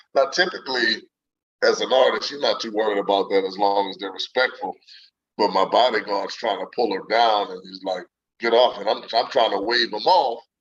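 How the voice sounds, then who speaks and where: Speaking in a New Orleans accent, a man shows big swings in loudness. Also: fairly quick pace. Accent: New Orleans Southern US. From US South, New Orleans. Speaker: singer and saxophonist. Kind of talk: interview. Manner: charming.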